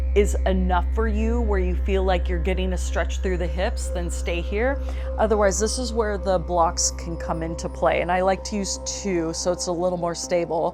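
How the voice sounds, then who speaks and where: Over music in the background, a woman speaks in a calm, gentle tone at a moderate pace. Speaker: fitness trainer and yoga teacher. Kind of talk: guided stretching class instruction. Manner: calm, gentle, instructional.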